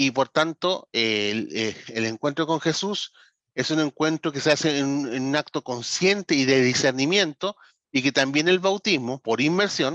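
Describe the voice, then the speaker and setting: With a dry, close sound and no echo, a man in an ordinary speaking voice talks at a fairly slow pace. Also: fairly high pitch for a man, ordinary pitch variation. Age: 40s. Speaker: pastor and ministry trainer. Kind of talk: online lecture. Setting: video call.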